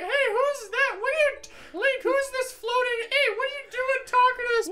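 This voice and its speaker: A female-sounding voice puts on a character at an extremely high pitch and a moderate pace. Background noise is clearly audible. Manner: silly, bratty, sassy.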